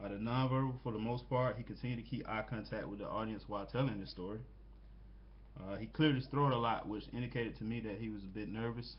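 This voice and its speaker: A man with an American accent talks at a very fast pace in a medium, somewhat breathy voice. His intonation is fairly even, and the room echo is audible. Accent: southern US, noticeable at times. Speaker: student. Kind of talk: peer critique presentation. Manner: halting, many fillers.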